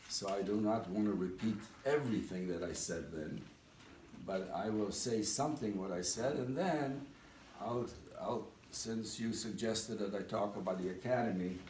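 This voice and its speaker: In a room with audible echo and noticeable background noise, a man talks at a moderate pace with ordinary pitch variation. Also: fairly low pitch for a man. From Eastern Europe. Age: 80s+. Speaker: speaker at a community dinner. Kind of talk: speech.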